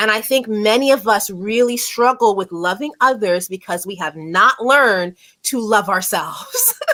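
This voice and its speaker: A woman talks at a moderate pace with hardly any pauses. Her voice sits fairly high, with ordinary pitch variation. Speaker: show host. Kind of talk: casual chat. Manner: loud.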